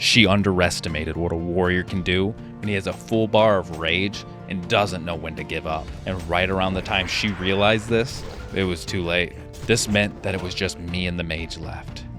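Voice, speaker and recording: With music playing behind him, a man talks in a very deep, low pitch, his pitch moving with ordinary variation. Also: moderate pace. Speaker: gaming YouTuber. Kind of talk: gameplay story narration.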